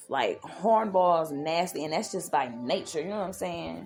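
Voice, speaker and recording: A woman talks at a fairly slow pace and a fairly low pitch with lively intonation. Music plays in the background. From US Midwest, Milwaukee, Wisconsin. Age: 30s. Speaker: podcast host. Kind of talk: casual podcast commentary.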